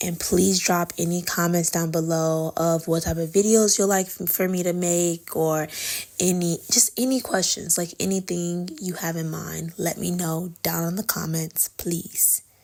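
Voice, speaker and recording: With noticeable background noise behind her, a woman speaks fairly slowly at a fairly low pitch, with fairly even intonation and hardly any pauses. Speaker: vlogger, grad student abroad. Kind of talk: casual vlog talk to camera. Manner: some stuttering and false starts.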